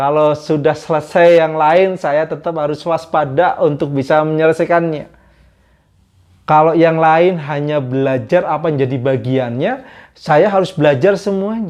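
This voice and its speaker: With a slight Javanese accent, a man speaks at a moderate pace and a fairly high pitch, with ordinary pitch variation against a quiet background. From Java, Indonesia. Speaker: vlogger. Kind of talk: casual storytelling monologue. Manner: casual.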